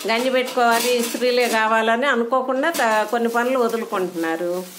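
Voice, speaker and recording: This woman has a plain, everyday voice, fairly high in pitch with ordinary pitch variation. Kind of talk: casual interview questions.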